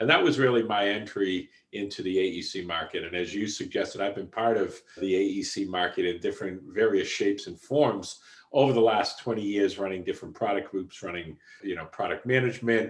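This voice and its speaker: In a strong Boston accent, the speaker moves at a fairly quick pace with ordinary pitch variation. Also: man, fairly low pitch for a man. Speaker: software executive. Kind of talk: podcast interview.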